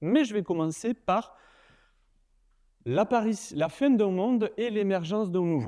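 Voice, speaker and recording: The tone is dark and mellow. The sound is dry and close, without any echo. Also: man, quiet background. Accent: southern French. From southern France, Nîmes. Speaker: university lecturer and researcher. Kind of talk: conference keynote talk. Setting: stage with audience. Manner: casual, humorous, many fillers.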